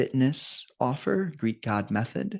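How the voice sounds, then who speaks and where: The recording is dry and close, with no echo. A man speaks in a calm tone. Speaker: energy alignment coach. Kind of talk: interview conversation. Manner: calm, peaceful.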